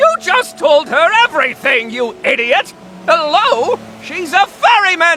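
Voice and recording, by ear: Using a cartoonish character voice, a man speaks at an extremely high pitch with big pitch swings and a bright, sharp tone, at a fairly slow pace over faint background noise.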